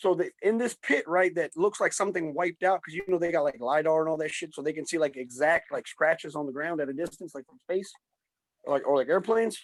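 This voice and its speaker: In a dry, close recording with no echo, a man speaks very fast at a high pitch, with big swings in loudness. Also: ordinary pitch variation. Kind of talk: casual chat.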